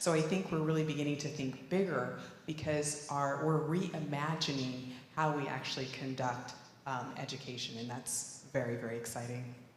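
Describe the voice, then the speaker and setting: A woman's very deep, low voice at a moderate pace with fairly even intonation, noticeable background noise and audible room echo. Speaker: regional consortium chair. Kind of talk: panel discussion.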